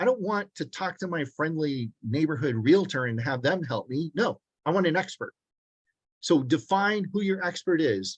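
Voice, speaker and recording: Lively intonation and a fairly high pitch come through as a man talks at a moderate pace in a plain, everyday voice. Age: 60s. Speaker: commercial real estate agent. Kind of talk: online mastermind presentation. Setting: video call.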